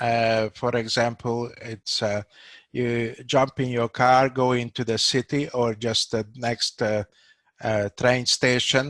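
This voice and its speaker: A man with a Hungarian accent speaks very slowly at a medium pitch in a monotone, flat way. The sound is dry and close, with no echo. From Hungary, Budapest. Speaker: doctor. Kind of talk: casual discussion. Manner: halting, many fillers.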